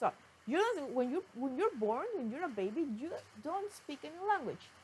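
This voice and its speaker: With very wide pitch swings, a woman speaks at a moderate pace over noticeable background noise. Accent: Spanish. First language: Spanish. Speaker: vlogger, language learner. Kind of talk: casual talk to camera. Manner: halting.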